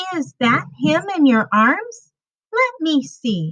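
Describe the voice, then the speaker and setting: Using a squeaky, put-on character voice, a woman speaks at a high pitch and a very slow pace. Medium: read story.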